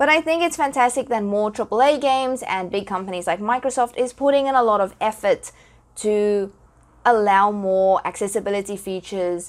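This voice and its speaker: A woman in a South African accent speaks at a fairly quick pace with a fairly high pitch and ordinary pitch variation. The recording is very clean with a silent background. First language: Afrikaans. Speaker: podcaster and gaming content creator. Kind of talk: solo podcast talk.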